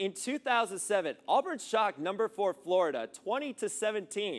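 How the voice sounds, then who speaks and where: On a very clean recording with a silent background and a dry, close sound with no echo, a man talks at a fairly quick pace with a high pitch. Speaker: sports anchor and reporter. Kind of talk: energetic sports highlight narration.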